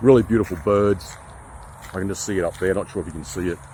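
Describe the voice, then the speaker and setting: In a strong Queensland accent, a man speaks at a fairly low pitch with ordinary pitch variation. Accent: strong Australian (Brisbane, Queensland). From Australia, Brisbane, Queensland. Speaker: nature vlogger. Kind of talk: casual vlog narration. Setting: outdoors, forest walk. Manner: relaxed.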